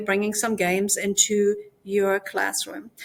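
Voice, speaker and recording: A woman talks at a fairly slow pace in a German accent. Her pitch sits fairly high. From Germany. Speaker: language teacher. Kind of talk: conference presentation.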